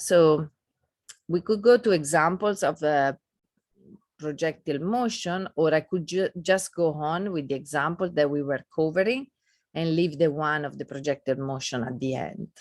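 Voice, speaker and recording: Against a quiet background, a woman speaks with a non-native accent at a moderate pace. Her pitch is very deep and low, with ordinary variation. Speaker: physics lecturer. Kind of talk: lecture. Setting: video call. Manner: halting.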